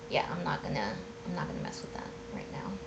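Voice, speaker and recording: Mumbled speech comes through audible room echo and noticeable background noise. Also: woman. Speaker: designer streaming a software demo. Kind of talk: live product walkthrough. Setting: live stream from home. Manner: casual, thinking aloud with fillers; mumbling.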